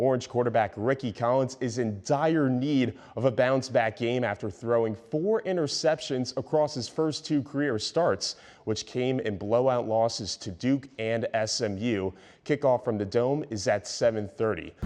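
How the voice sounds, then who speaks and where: A man speaks in a normal speaking voice at a medium pitch with ordinary pitch variation. His pace is moderate, and the background is quiet. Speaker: TV sports reporter and anchor. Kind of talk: sports news anchor read.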